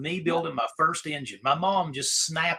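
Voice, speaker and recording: A man delivers his words fairly quickly amid noticeable background noise. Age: 40s. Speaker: livestream host. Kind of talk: casual chat.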